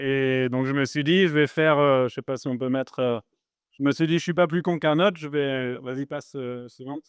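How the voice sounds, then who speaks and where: Moderately paced, a man speaks at a fairly high pitch. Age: 40s. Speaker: startup founder. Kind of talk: talk to live audience. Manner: casual, hesitant with many fillers.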